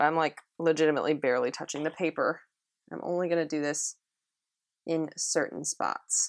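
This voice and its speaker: A woman with a very deep, low pitch speaks in a flat monotone at a fairly quick pace, stopping for long, frequent pauses. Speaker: watercolor art instructor. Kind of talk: tutorial. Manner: quiet during detail work; casual, filler-heavy.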